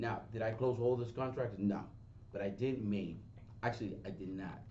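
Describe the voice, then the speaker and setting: Amid audible room echo, a man with a medium pitch and a dark, mellow, somewhat breathy tone talks at a moderate pace with ordinary pitch variation. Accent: strong Spanish. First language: Spanish. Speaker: real estate agent and trainer. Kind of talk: seminar talk. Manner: halting, with false starts.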